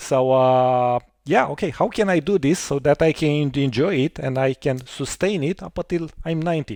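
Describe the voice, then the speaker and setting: A man with an unremarkable speaking voice talks at a moderate pace, his pitch fairly high with ordinary variation and hardly any pauses. The sound is dry and close with no echo, over a quiet background. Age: 40s. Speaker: podcast host. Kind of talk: casual interview chat.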